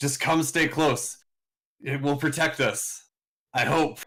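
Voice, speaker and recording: Putting on a raspy character voice, a man speaks at a fairly slow pace and a fairly high pitch. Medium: actual play. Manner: solemn, commanding.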